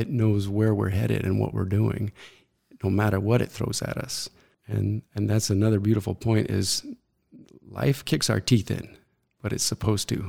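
Pausing long and often, a man with an American accent talks at a moderate pace, his fairly low voice somewhat breathy and dark, mellow in tone, with fairly even intonation. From Arizona, US (Mesa). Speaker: writer. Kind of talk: interview.

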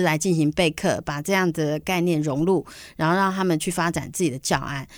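A woman's fairly low voice in a Taiwanese accent, fairly even in intonation, on a very clean recording with a silent background. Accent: Taiwanese Mandarin. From Taiwan, Banqiao (New Taipei). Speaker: environmental foundation director. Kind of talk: interview.

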